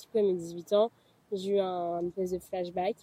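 A woman speaks in a dark, mellow tone at a medium pitch, her intonation monotone and flat. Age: 20s. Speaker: early childhood educator. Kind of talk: testimony.

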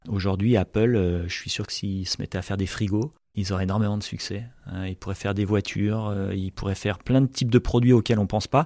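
Over a quiet background, a man with a fairly low pitch speaks at a fairly quick pace with fairly even intonation. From French Alps. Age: 40s. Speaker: company president. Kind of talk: interview. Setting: company headquarters. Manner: hesitant, many fillers.

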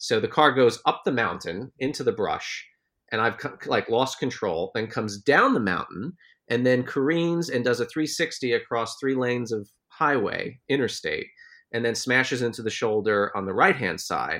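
A man's medium-pitched, unremarkable speaking voice with ordinary pitch variation, on a very clean recording with a silent background. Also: moderate pace. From United States. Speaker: journalist, podcast co-host. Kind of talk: casual chat.

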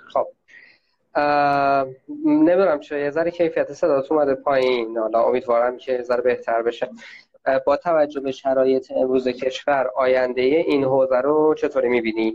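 This man has an ordinary speaking voice, fairly high in pitch, and he talks at a moderate pace with fairly even intonation. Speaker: interviewer. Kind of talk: interview. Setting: video call.

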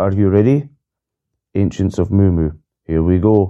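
A man speaks with a Scottish accent. His pitch is very deep and low. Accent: Scottish brogue. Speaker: podcast host reading song lyrics. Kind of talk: reading aloud. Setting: solo recording, one unedited take. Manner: flat spoken reading of lyrics.

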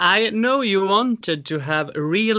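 This man's pitch swings very widely. He keeps a fairly slow pace. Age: 30s. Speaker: podcast host. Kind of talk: interview.

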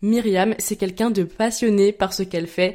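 A dark, mellow tone at a moderate pace, on a very clean recording with a silent background. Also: woman. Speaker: podcast host. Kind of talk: casual interview. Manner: animated.

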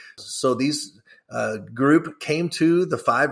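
A man with a Kentucky accent speaks in a bright, sharp tone on a very clean recording with a silent background. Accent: Kentucky Southern American. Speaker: whiskey brand ambassador, former stand-up comedian. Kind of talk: interview.

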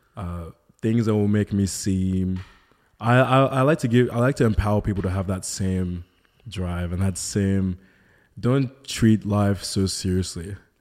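A man talks at a fairly slow pace in an Australian accent, his pitch fairly low, with long, frequent pauses. The recording is very clean, with a silent background. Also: ordinary pitch variation. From Melbourne, Australia. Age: 30s. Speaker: model and content creator. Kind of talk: casual chat.

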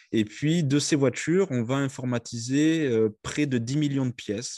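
A man speaks in a dark, mellow tone with ordinary pitch variation. The sound is dry and close with no echo, over a quiet background. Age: 30s. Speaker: company CEO. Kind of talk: interview. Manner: halting, many hesitations.

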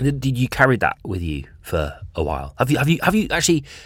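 Very fast speech with vocal fry and very wide pitch swings comes through on a very clean recording with a silent background. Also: man. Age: 30s. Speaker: podcast host. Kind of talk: casual interview chat.

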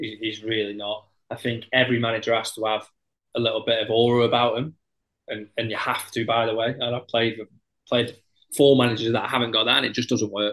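The speaker talks at a fairly quick pace in a Potteries accent. The intonation is monotone and flat. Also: man, medium pitch for a man. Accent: Potteries (Stoke) English. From Stoke-on-Trent, English Midlands. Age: 30s. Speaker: footballer. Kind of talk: casual chat.

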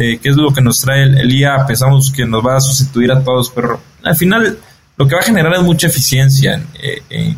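A man speaks at a fairly quick pace, his medium-pitched voice somewhat breathy. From Mexico. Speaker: entrepreneur. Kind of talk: interview. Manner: halting, many repeated words and fillers.

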